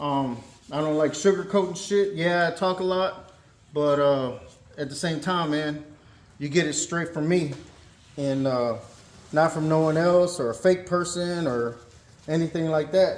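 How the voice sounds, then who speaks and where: Amid noticeable background noise and audible room echo, a man with an American accent talks at a fairly slow pace, pausing long and often. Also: fairly high pitch for a man. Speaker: car mechanic YouTuber. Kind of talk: tutorial. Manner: monotone; casual.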